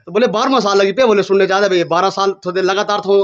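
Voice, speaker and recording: This man speaks with a high pitch. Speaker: folk singer and video host. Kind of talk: casual interview. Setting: outdoors at village temple with devotees.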